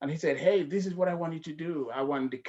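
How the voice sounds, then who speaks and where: A man speaks with a West African accent. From The Gambia, West Africa. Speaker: healthcare professional. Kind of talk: casual chat.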